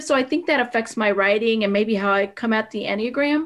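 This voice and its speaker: A woman with a Spanish accent, fairly high pitch, ordinary pitch variation and moderate pace, on a very clean recording with a silent background. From northwestern Pennsylvania, with early years in Puerto Rico. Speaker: author. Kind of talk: interview. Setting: podcast.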